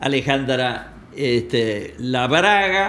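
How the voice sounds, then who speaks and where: Medium-pitched male speech carrying audible room echo. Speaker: political analyst and accountant. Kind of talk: interview chat.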